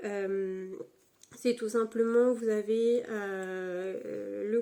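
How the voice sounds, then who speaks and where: A woman at medium pitch, very slow, with a monotone, flat intonation. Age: 20s. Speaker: YouTuber, student. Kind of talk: casual chat. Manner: hesitant, many fillers.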